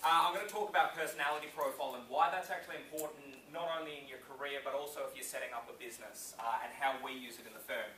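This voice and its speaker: Amid noticeable background noise and audible room echo, a man with an Australian accent talks at a very fast pace in a fairly high pitch. His tone is energetic, with big swings in loudness. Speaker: business owner and speaker. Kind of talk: conference speech. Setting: stage with audience. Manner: casual, energetic.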